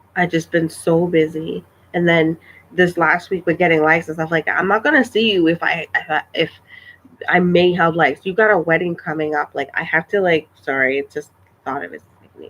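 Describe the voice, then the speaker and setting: A woman with a fairly low pitch speaks quietly with fairly even intonation. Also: fairly quick pace, big swings in loudness. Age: 30s. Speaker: vlogger. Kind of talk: casual livestream chat. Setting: live stream. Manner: halting, repetitive.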